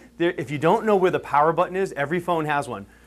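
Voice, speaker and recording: The man's tone is animated. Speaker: chiropractor giving a health workshop. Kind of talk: health workshop talk to a live audience. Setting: room with live audience. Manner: fast.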